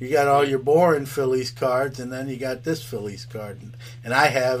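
In an ordinary speaking voice, a man with an American accent talks at a moderate pace, medium in pitch with fairly even intonation. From New York City, Brooklyn. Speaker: podcast host and card dealer. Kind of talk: casual interview chat.

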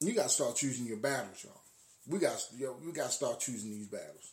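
The speaker talks at a fairly quick pace in a somewhat breathy voice. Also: man. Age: 50s. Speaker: podcast host. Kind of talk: casual monologue. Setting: live stream. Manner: halting.

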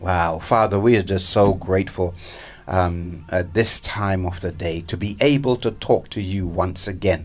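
Somewhat breathy, a man with a very deep, low pitch speaks at a fairly slow pace with fairly even intonation. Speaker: radio host. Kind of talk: fervent live radio prayer, heartfelt and pleading. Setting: radio studio. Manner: earnest, impassioned, rhythmic prayer cadence.

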